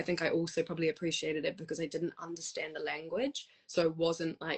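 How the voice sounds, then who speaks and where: Speaking at a moderate pace, a woman talks with a New Zealand accent. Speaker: musician and choir leader. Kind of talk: casual interview.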